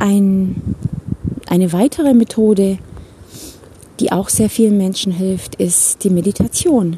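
Against noticeable background noise, a woman speaks at a very slow pace in a medium pitch. She leaves long, frequent pauses. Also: ordinary pitch variation. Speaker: life coach. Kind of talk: podcast monologue. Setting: outdoors, walking in a forest.

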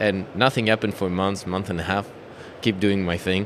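A man talks in a French accent with a fairly low pitch. Noticeable background noise sits behind his voice. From France. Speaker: sport shooting champion. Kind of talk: casual interview. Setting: trade fair booth.

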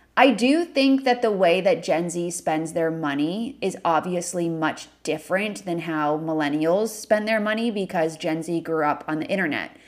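A woman with an unremarkable speaking voice and a fairly low pitch talks at a moderate pace with lively intonation and hardly any pauses. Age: 20s. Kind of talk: solo Q&A podcast monologue.

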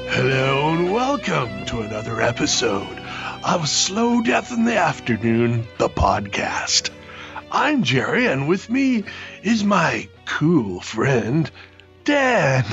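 Clear music plays in the background behind a put-on character voice. It sits at a low-to-middle pitch and moves at a very slow pace.

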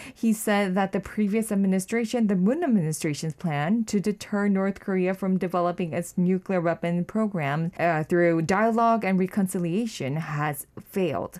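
A woman with an unremarkable speaking voice, ordinary pitch variation, very even loudness and hardly any pauses, on a very clean recording with a silent background. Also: medium pitch for a woman, moderate pace. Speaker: news reporter. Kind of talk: news briefing. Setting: studio.

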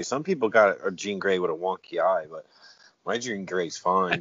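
A man's fairly low, normal speaking voice, with ordinary pitch variation at a moderate pace. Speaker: podcast co-host. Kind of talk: casual chat. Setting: in a car.

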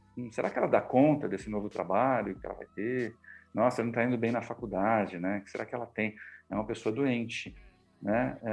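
A man talks at a fairly quick pace with medium pitch. His intonation stays fairly even while his loudness swings a lot. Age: 50s. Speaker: communication mentor and journalist. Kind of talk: interview. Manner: hesitant, many filler words.

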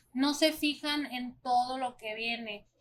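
This woman's voice has a bright, sharp tone. Her pitch sits fairly high. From Mexico, small town. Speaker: restaurant owner. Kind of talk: podcast interview.

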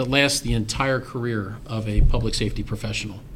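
Speaking very fast with an American accent, a man at medium pitch is heard with audible room echo. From Maryland, western Carroll County. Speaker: county fire chief. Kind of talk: interview.

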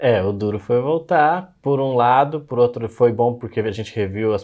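Against a quiet background, the voice has a dark, mellow tone. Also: man. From Brazil. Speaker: software developer, immigration client. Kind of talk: interview. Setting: office, in person.

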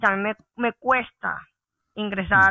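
A woman with an unremarkable speaking voice talks at a moderate pace with fairly even intonation. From Colombia, Santa Marta (Caribbean coast). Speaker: engineer. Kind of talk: podcast interview.

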